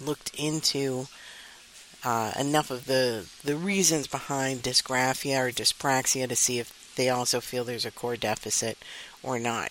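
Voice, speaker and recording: A woman with a very deep, low pitch speaks against noticeable background noise. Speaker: podcast host and dyscalculia educator. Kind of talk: educational podcast monologue. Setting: recording on a university campus while at a conference.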